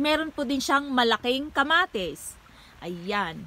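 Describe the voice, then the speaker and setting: Her pitch high and swinging very widely, a woman speaks at a fairly slow pace in a dry sound with no echo. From Philippines. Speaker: vlogger. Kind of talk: casual vlog narration. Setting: outdoors. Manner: casual, repetitive. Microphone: phone near.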